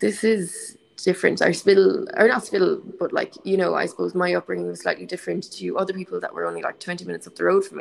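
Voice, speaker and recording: A woman speaks with a Connemara accent. Her pace is fairly quick. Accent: Connemara Irish. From Connemara, County Galway, Ireland. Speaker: actor. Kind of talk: interview.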